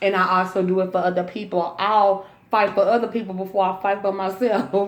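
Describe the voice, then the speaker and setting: A woman's animated tone at a fairly quick pace, amid noticeable background noise. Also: medium pitch for a woman, very even loudness. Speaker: vlogger and youth care worker. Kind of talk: casual chat.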